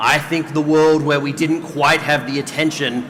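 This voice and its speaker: A man's fairly high-pitched voice at a fairly slow pace, with audible room echo and noticeable background noise. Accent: Australian. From Australia. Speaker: doctor and health system leader on a panel. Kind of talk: conference panel discussion. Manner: animated.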